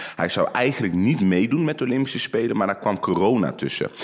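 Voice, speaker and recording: Noticeable background noise sits behind a man who talks at a fairly quick pace with lively intonation. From Netherlands, North Brabant. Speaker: judoka. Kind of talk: interview. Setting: studio. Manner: calm.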